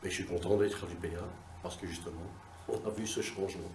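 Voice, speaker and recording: A man's very deep, low voice in audible room echo. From Belgium, Brussels (Anderlecht). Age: 50s. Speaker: workshop participant. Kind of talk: testimony.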